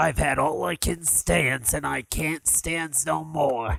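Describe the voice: A man uses a put-on character voice that is raspy, at medium pitch. He speaks at a fairly slow pace.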